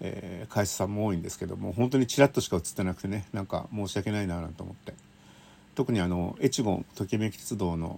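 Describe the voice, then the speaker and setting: At a fairly quick pace, a man talks in a fairly low pitch with a dark, mellow tone and ordinary pitch variation. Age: 50s. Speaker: railway writer. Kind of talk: casual monologue. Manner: chatty with laughter.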